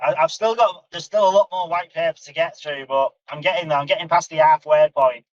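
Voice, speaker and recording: A man with a Northern English accent speaks in a high pitch with ordinary pitch variation and hardly any pauses. The sound is dry and close, with no echo. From northern England, near Manchester. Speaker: community member, crypto video creator. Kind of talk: casual chat. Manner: halting, repeats words.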